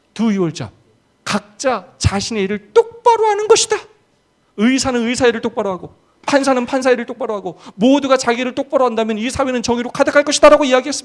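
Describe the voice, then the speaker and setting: A man's extremely high voice, very fast in pace, with lively intonation. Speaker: pastor. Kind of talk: seminar lecture. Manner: animated.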